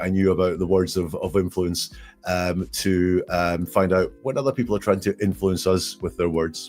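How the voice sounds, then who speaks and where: A man speaks in a Scottish accent at a very deep, low pitch. His pace is fairly quick, with music in the background. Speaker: statement analysis expert. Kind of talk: interview. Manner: halting, many fillers.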